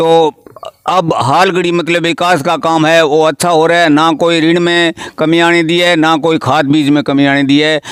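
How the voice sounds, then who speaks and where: Over noticeable background noise, a man talks at a moderate pace in a fairly high, monotone voice with flat intonation and very even loudness. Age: 70s. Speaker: village cooperative society chairman. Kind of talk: interview. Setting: at his home.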